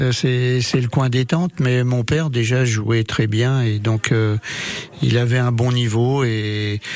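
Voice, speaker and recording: The speech moves at a very slow pace with fairly even intonation over noticeable background noise. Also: man. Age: 60s. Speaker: pétanque player. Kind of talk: radio interview. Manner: halting, repetitive.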